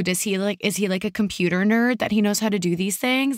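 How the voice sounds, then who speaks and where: A woman speaks at a fairly quick pace in an animated, enthusiastic tone with ordinary pitch variation. The recording is very clean, with a silent background. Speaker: podcast host. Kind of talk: casual interview conversation.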